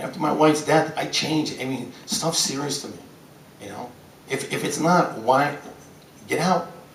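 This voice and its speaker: A man with an American accent and a fairly high pitch, big swings in loudness and long, frequent pauses, with audible room echo and noticeable background noise. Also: ordinary pitch variation, moderate pace. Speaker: city council member and gym teacher. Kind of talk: press conference. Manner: intense, loud; halting, repetitive.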